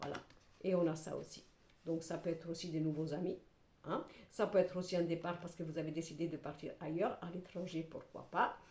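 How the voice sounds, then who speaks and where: Somewhat breathy, a woman talks at a fairly quick pace with big swings in loudness. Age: 60s. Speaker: tarot reader / clairvoyant. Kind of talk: tarot reading monologue to camera. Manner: animated.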